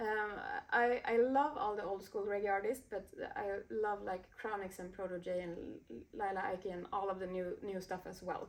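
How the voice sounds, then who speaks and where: A woman talks in a Swedish accent at a moderate pace. Her medium pitch has ordinary variation. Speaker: DJ and music producer. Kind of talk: interview. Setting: recording studio. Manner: halting, many fillers.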